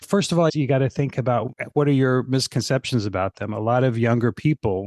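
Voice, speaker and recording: An unremarkable speaking voice from a man at a moderate pace, fairly even in intonation, with a dry, close sound with no echo and a quiet background. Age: 60s. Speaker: fitness marketing consultant. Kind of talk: podcast interview.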